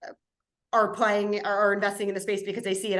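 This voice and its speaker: A woman speaks at a medium pitch with an American accent. Room echo is audible around her. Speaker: impact investing panelist. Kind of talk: webinar panel discussion.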